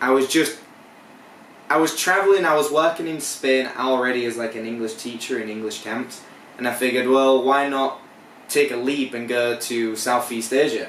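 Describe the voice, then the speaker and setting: Over noticeable background noise and audible room echo, a man speaks at a moderate pace in a medium pitch with ordinary pitch variation. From northern England, Hull. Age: 20s. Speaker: English teacher. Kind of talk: interview. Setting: on location.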